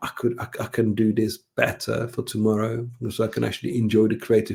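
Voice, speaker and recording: A man speaks fairly quickly in a monotone at a medium pitch, his tone dark, mellow and somewhat breathy. The recording is very clean, and the background is silent. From Czech Republic. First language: Czech. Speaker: brand designer and author. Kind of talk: podcast interview. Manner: halting, many repetitions.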